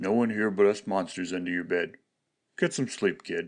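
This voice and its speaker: A man does a gruff, put-on character voice. He talks at a fairly quick pace. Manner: gruff, bossy.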